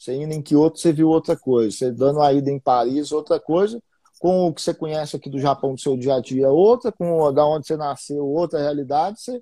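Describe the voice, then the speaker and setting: A dark, mellow tone carries speech at a fairly quick pace in a Minas Gerais accent. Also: man, fairly high pitch for a man, ordinary pitch variation, dry, close sound with no echo. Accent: Minas Gerais Brazilian Portuguese. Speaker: investing podcast host. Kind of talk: casual live-stream interview. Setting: Instagram live stream.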